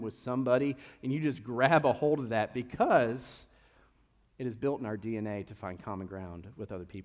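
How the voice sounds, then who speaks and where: This is a man speaking. He has a slight Kentucky accent. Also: quiet background. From Kentucky, Lexington. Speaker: pastor. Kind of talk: sermon. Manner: casual, conversational.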